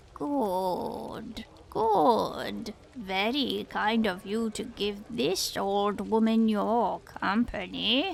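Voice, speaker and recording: Using a put-on character voice, a woman speaks at a very slow pace in a medium pitch. Clear background noise runs underneath. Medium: read story. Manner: slow, knowing, faintly ominous.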